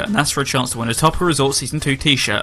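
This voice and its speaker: Over noticeable background noise, a man speaks at a fairly high pitch. His intonation is lively. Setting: live internet radio show.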